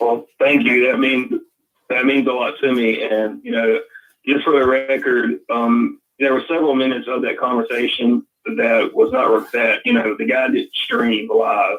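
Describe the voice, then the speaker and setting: Man with a strong Southern US accent at a moderate pace. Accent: deep Southern US. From Louisiana. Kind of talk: casual chat.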